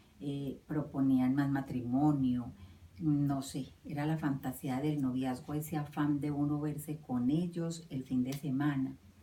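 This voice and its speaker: A woman speaks at a fairly slow pace with fairly even intonation and a very deep, low pitch. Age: 50s. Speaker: interviewee recalling her youth. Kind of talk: personal recollection interview. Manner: hesitant, with many fillers.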